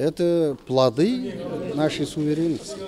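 A very slow-paced man with lively intonation and noticeable background noise. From southern Kazakhstan (Kentau). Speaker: theater critic and professor. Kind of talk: interview. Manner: halting, frequent filler sounds.

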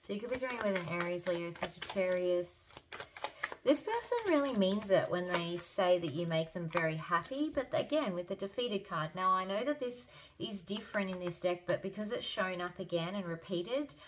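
A woman's medium-pitched voice at a moderate pace with lively intonation, over noticeable background noise. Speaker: tarot reader. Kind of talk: tarot reading.

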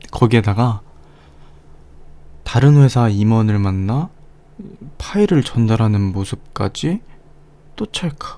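A man speaks at a medium pitch in a dark, mellow tone, very slowly and with long, frequent pauses. His intonation is lively and his tone playful and smug. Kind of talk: ASMR roleplay, teasing office-blackmail scene. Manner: teasing, playful, slightly smug.

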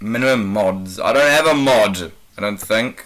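A man with a New Zealand accent over noticeable background noise. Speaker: gaming YouTuber. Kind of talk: casual gameplay commentary.

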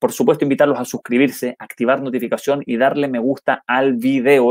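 A man talks at a fairly quick pace with hardly any pauses and fairly even intonation. The sound is dry with no echo, over a quiet background. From Chile. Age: 30s. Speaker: football commentator and YouTuber; football commentator streamer. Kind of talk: live stream match analysis with chat reading. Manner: halting with frequent repetitions; casual and friendly. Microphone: earbuds.

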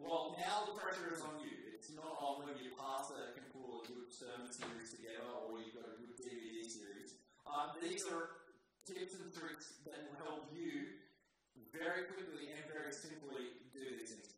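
Strong room echo and light background noise surround a man speaking at a moderate pace with ordinary pitch variation. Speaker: pastor presenting to young adults. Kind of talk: sermon.

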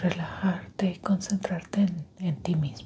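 Over light background noise, a woman talks at a very slow pace with ordinary pitch variation. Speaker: ASMR creator. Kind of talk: soft-spoken ASMR roleplay. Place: home room.

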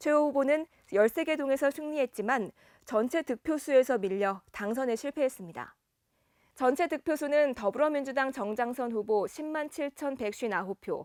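At a moderate pace and a high pitch, a woman speaks with lively intonation in a very clean recording with a silent background and a dry, close sound with no echo. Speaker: news announcer. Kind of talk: news broadcast narration.

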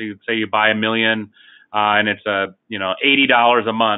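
Moderate pace from a male speaker, quiet background behind. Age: 40s. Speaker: life insurance company CEO. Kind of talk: webinar presentation. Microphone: video call.

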